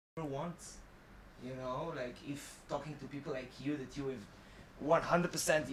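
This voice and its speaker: A man speaks at a fairly high pitch and moderate pace, leaving long, frequent pauses. Room echo is audible. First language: not English. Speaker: podcast host. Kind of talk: casual interview chat. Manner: animated.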